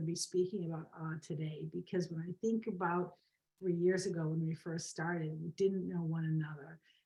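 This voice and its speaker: Somewhat breathy, this woman's voice sits at a fairly low pitch and moves at a moderate pace. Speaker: co-host of a positive psychology talk. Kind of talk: guided meditation; casual chat. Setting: video call. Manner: not usually soft-spoken. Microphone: too quiet.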